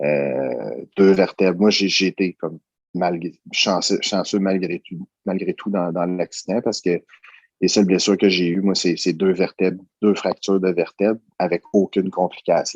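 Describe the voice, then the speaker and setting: Dry and close with no echo, a man's very deep, low voice carries vocal fry and fairly even intonation. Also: fairly slow pace. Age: 30s. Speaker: security worker, coaching client. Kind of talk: testimony. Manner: halting.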